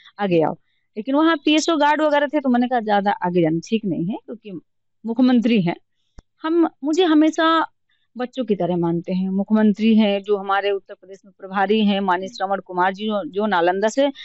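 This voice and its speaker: The sound is dry and close with no echo, and the loudness swings a lot. A woman with a fairly high pitch speaks with lively intonation. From Uttar Pradesh, Banda district. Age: 30s. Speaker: politician. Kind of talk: interview. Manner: animated.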